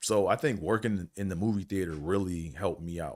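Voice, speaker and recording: This man's voice sits at a very deep, low pitch. The recording is very clean and the background silent. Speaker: podcast host who stutters. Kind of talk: casual talk to camera. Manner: stutters; lighthearted, humorous.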